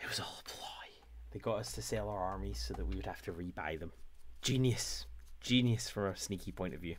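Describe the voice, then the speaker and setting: A man speaks in a very deep, low voice with a Scottish accent, vocal fry and very wide pitch swings. His pace is fairly quick, broken by long, frequent pauses, over light background noise. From Scotland. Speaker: painting livestreamer. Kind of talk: casual chat. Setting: livestream. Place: home room.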